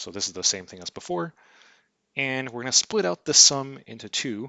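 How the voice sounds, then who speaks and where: A man talks in a normal speaking voice at a medium pitch and moderate pace, with lively intonation and big swings in loudness. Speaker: math lecturer. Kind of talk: lecture. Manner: casual, with fillers and false starts.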